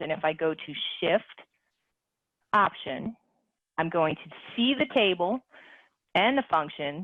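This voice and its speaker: A woman with a fairly low pitch speaks with lively intonation. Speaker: calculator webinar presenter. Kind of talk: software tutorial demonstration. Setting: online webinar. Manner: fast.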